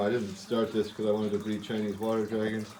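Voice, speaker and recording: The speech is mumbled at a very fast pace. Noticeable background noise runs underneath. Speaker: reptile keeper and breeder. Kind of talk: casual show-and-tell video. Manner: mumbling.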